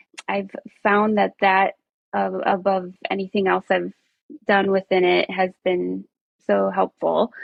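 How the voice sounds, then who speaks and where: Speaking at a fairly slow pace with a slight Minnesota accent, a woman keeps a very even loudness and takes long, frequent pauses. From rural Minnesota, US. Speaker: nurse coach. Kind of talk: interview.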